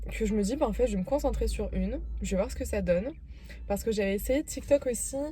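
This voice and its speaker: A woman speaks with music in the background. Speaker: vlogger. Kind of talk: casual vlog talk to camera. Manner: hesitant, many fillers.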